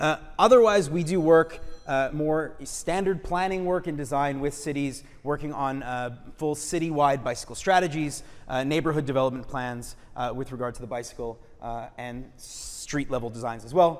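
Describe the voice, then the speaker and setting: There is audible room echo around this man's voice. He speaks at a fairly high pitch with ordinary pitch variation. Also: moderate pace. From Quebec, Montreal. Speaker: urban designer. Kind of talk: lecture. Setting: auditorium with audience. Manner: frequent fillers (uh, um).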